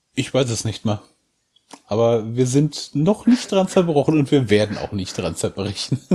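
A man's somewhat breathy voice, dark and mellow in tone, medium in pitch, with very wide pitch swings at a moderate pace. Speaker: bereaved father. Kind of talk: personal testimony in interview.

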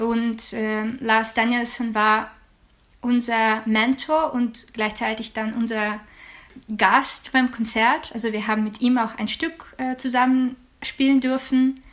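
A woman with a Ukrainian accent speaks very slowly at a fairly high pitch. Her intonation is monotone and flat. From Ukraine, Odessa region. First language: Ukrainian (speaking German). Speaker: jazz singer and student. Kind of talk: interview. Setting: video call.

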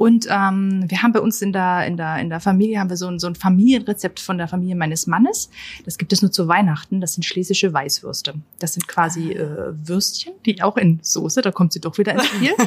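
A woman speaks at a fairly quick pace, somewhat breathy. Her pitch sits in the medium range with ordinary variation. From Austria, near Linz. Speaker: tourism marketing manager. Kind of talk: casual interview. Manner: hesitant with many fillers.

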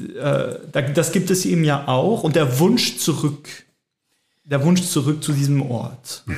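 Very slowly and somewhat breathily, a man talks at a fairly high pitch with ordinary pitch variation. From French-speaking Switzerland. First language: French (speaking German). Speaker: theologian. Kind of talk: casual chat. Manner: halting.

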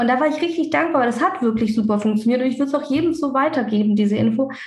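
Amid audible room echo, a woman talks at a very fast pace in a high pitch with ordinary pitch variation. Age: 30s. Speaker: dentist and practice owner. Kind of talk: podcast interview. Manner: talkative.

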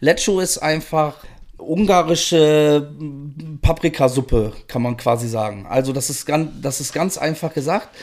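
Over a silent background on a very clean recording, a man with a fairly high pitch speaks at a fairly slow pace with ordinary pitch variation. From northern Germany (Rostock), moved west as a child. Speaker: food podcast guest. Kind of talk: casual chat. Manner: loud.

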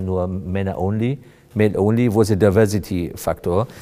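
A man talks with a fairly low pitch and fairly even intonation. His tone is dark and mellow. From Afghanistan, came to Germany as young refugee. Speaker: corporate HR director. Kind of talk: podcast interview.

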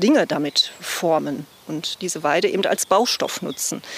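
There is noticeable background noise as a woman talks at a fairly slow pace. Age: 50s. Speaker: club secretary, nursing school principal. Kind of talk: casual walking tour chat. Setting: outdoors.

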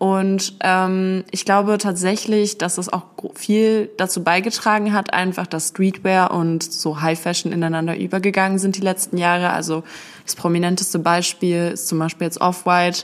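A woman at medium pitch, monotone and flat, at a moderate pace. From Berlin, Germany. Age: 20s. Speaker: student and sneaker YouTuber. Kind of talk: casual chat. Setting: in person at her place in Essen.

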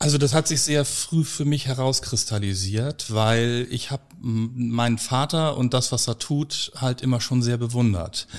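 A man's unremarkable speaking voice at medium pitch with ordinary pitch variation, fairly slow and with hardly any pauses, on a very clean recording with a silent background. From Hamburg, northern Germany. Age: 40s. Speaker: funeral director. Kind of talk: interview conversation.

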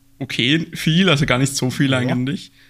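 In a slight Austrian accent, a man speaks at a medium pitch with ordinary pitch variation. The recording is very clean, with a silent background. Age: 20s. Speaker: aquascaping YouTuber. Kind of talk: casual interview.

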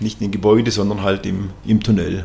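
A man is speaking. Noticeable background noise is heard. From Swabia, southern Germany (near Tuttlingen). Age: 50s. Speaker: company executive. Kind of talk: interview.

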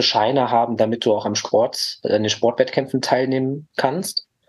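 This man has an unremarkable speaking voice at a medium pitch, talking at a fairly slow pace with fairly even intonation. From Lower Rhine region, Germany (Mönchengladbach/Neuss). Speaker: therapist. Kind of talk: casual interview.

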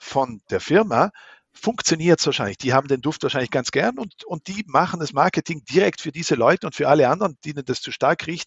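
A man at a fairly high pitch, fairly quick pace, big swings in loudness. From South Tyrol, Italy (Meran). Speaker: smell researcher and professor. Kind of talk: interview. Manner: hesitant, many filler sounds.

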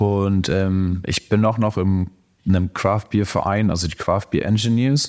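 A man with an unremarkable speaking voice talks at a moderate pace with ordinary pitch variation, on a very clean recording with a silent background. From northern Germany, Lower Saxony (Cloppenburg). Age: 30s. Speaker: homebrewer and chemical engineer. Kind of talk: casual interview.

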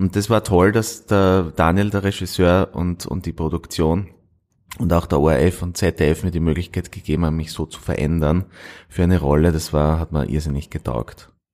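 In a very clean recording with a silent background, a man with a very deep, low pitch talks at a moderate pace with ordinary pitch variation. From Austria, Styria (near Carinthian border). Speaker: actor. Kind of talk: interview. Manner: halting.

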